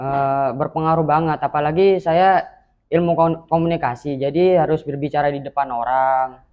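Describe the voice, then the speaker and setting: This man has a normal speaking voice with fairly high pitch, fairly even intonation, a moderate pace and very even loudness. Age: 20s. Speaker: university student, mental health survivor. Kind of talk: interview testimony. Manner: brief, short answers.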